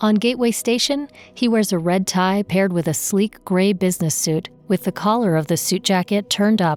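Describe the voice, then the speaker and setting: At a fairly quick pace, a woman with a plain, everyday voice speaks with ordinary pitch variation, and the sound is dry and close with no echo. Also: medium pitch for a woman, very even loudness. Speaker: audio describer. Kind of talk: audio description narration.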